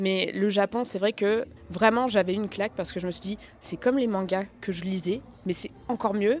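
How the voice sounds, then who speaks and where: A woman speaks at a moderate pace with ordinary pitch variation. She has an ordinary speaking voice. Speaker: content creator. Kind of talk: interview. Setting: convention backstage.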